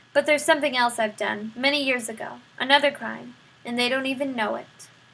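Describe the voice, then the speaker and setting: A woman puts on a gruff character voice, pitched high. She speaks at a fairly quick pace. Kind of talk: rough vernacular speech. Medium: read story. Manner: gruff, uneducated.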